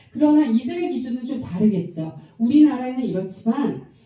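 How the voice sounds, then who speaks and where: Her voice is high, and the woman's pitch swings very widely. Audible room echo surrounds the speech. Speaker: Bible prophecy teacher. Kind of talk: Bible lecture.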